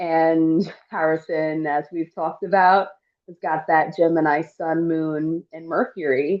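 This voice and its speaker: A woman with a normal speaking voice, fairly low in pitch, at a fairly slow pace. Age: 40s. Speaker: astrologer and podcast host. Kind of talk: podcast interview wrap-up.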